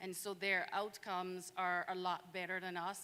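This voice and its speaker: A woman's medium-pitched voice with a Caribbean accent, bright and sharp in tone, monotone and flat, at a fairly slow pace on a very clean recording with a silent background. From Saint Vincent and the Grenadines. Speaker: physician and public health resident. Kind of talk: panel discussion.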